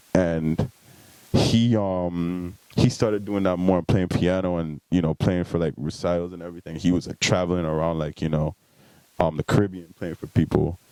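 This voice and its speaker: In a dry, close sound with no echo, a man with a very deep, low pitch and a dark, mellow tone speaks at a moderate pace with fairly even intonation. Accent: American. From US Virgin Islands, St Thomas. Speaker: musician. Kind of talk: podcast interview.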